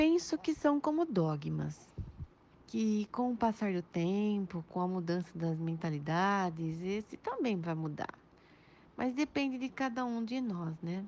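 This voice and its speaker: Her pitch swings very widely around a medium level. The woman speaks at a very slow pace. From Pederneiras, interior of São Paulo state, Brazil. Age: 40s. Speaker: history teacher. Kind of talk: interview answers. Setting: WhatsApp voice recording. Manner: formal.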